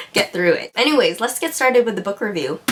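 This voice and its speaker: Here is a woman's voice. Noticeable noise can be heard in the background. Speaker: book reviewer on video channel. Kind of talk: casual video review. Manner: animated.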